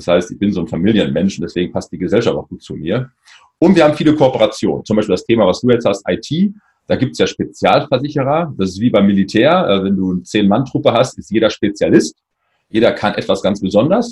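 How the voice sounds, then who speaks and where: Very fast, somewhat breathy speech from a man at medium pitch, with very wide pitch swings. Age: 40s. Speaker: insurance agent. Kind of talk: interview.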